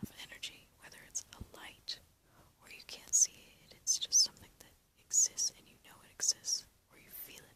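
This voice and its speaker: A woman is whispering. Her loudness swings a lot. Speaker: ASMR artist, guided relaxation guide. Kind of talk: guided relaxation. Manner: soft-spoken, whispered, slow.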